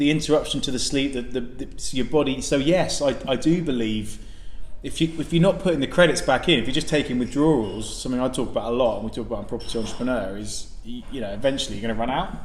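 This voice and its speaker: Speaking at a very fast pace, a man has medium pitch and ordinary pitch variation. Audible room echo and noticeable background noise accompany him. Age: young. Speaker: podcast co-host. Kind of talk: casual chat. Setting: restaurant. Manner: loud; animated.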